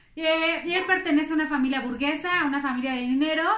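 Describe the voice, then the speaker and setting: Here a woman speaks with a high pitch. Her pitch varies in an ordinary way. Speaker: podcast host, amateur history narrator. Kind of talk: casual storytelling narration. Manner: halting, many fillers.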